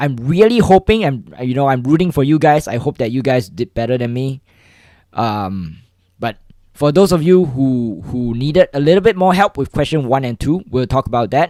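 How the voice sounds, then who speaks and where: Over a silent background in a very clean recording, a man talks at a moderate pace and medium pitch. His tone is dark and mellow, with very wide pitch swings. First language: not English. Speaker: coding livestreamer. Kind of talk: livestream tutorial. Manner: halting, many repetitions and fillers.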